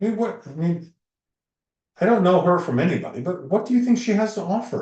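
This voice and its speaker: Lively intonation and a dark, mellow tone mark this man's high-pitched voice. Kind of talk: casual chat. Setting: live stream. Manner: animated.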